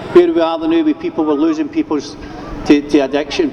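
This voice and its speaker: A man speaks in a passionate tone at a moderate pace. Noticeable background noise runs underneath. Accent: Scottish. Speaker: addiction recovery worker. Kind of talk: rally speech over PA. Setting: outdoors, PA system. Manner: passionate, informal.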